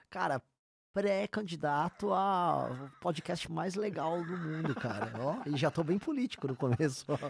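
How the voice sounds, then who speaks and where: On a very clean recording with a silent background, a man with a normal speaking voice talks in a fairly high pitch with lively intonation. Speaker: presidential pre-candidate and internet personality. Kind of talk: podcast interview.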